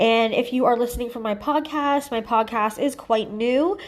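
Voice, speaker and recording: Using an ordinary speaking voice, a woman with a fairly high pitch talks at a moderate pace with fairly even intonation. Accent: Canadian. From Ontario, Canada. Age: 30s. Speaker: psychic medium. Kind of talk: casual true crime reading to camera.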